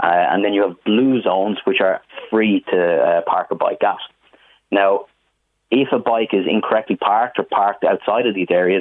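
This man speaks at a moderate pace with an Irish accent. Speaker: business manager. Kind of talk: radio interview.

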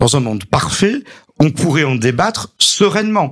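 A somewhat breathy man with a fairly high pitch and very wide pitch swings. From southern France, Montpellier area. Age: 50s. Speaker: local politician, mayor. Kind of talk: radio interview.

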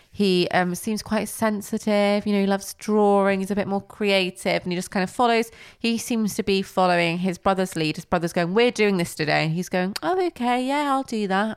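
A woman speaks at a fairly quick pace with hardly any pauses, in a normal speaking voice of medium pitch. Her pitch variation is ordinary, and the recording is very clean with a silent background. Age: 20s. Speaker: podcast co-host. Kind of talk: casual chat. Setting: at home, recording late at night.

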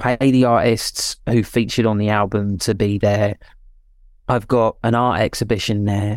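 At a moderate pace, a man speaks with monotone, flat intonation and very even loudness. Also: fairly low pitch for a man, very clean recording, silent background. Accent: British. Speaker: musician and producer. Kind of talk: casual interview.

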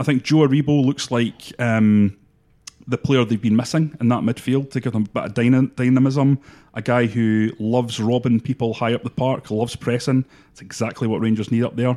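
A man with a medium-pitched, unremarkable speaking voice talks at a fairly quick pace. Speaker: football pundit. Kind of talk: sports podcast discussion.

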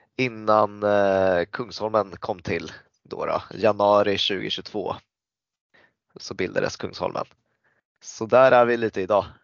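Very slowly, a man speaks at a fairly low pitch. His intonation is fairly even, broken by long, frequent pauses. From Sweden, Stockholm area. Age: 30s. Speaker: floorball player and club leader. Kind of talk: casual interview.

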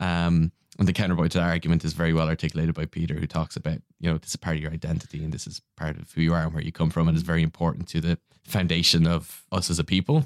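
With an Irish accent, a man talks at a very fast pace in a very deep, low pitch and a monotone, flat intonation, in a dry, close sound with no echo. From Ireland. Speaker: podcaster. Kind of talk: casual chat.

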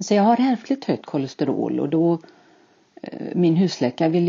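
A woman speaks at a fairly quick pace in a very deep, low pitch. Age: 60s. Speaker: podcast guest, retiree with IBS. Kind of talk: interview.

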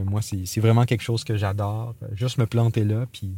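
With a normal speaking voice, a man talks at a moderate pace with medium pitch and fairly even intonation. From Gaspésie, Quebec (Grande-Vallée). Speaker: arts festival communications director. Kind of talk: guided outdoor walk tour. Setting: outdoors on a hiking trail.

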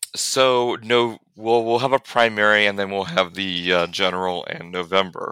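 With an American accent, this speaker talks at a moderate pace with ordinary pitch variation and hardly any pauses. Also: man, fairly low pitch for a man. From Central Illinois, US Midwest. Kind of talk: interview conversation. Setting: remote call. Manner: loud.

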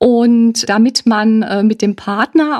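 A woman talks at a fairly high pitch with ordinary pitch variation in an unremarkable speaking voice, the sound dry and close with no echo. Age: 60s. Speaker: family counselor and social worker. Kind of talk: expert interview.

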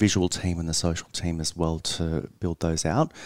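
With an Australian accent, a man speaks in a very deep, low voice and a flat monotone at a moderate pace, captured in a very clean recording with a silent background and a dry, close sound with no echo. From central Queensland, Australia. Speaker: journalist. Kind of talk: interview. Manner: hesitant, with fillers.

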